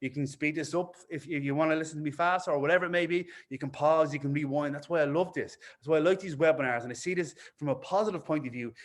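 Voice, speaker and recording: Talking at a very fast pace, a man with an Irish accent sounds animated in a fairly high pitch. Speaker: fitness business coach. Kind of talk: webinar presentation. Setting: online webinar. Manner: fast when excited.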